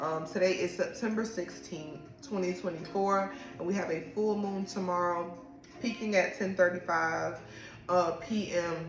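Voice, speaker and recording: Amid audible room echo and music in the background, a woman with a fairly low pitch talks at a moderate pace with ordinary pitch variation. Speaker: podcast host and tarot reader. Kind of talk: spiritual reading monologue. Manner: casual.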